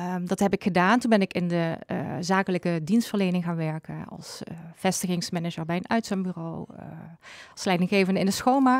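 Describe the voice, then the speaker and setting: At a fairly quick pace, a woman speaks in a medium pitch with ordinary pitch variation and big swings in loudness, the sound dry with no echo over a quiet background. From Zuid-Limburg, Netherlands; Limburg, Netherlands. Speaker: coach and therapist; coach. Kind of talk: interview. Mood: calm, friendly. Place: studio. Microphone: studio mic.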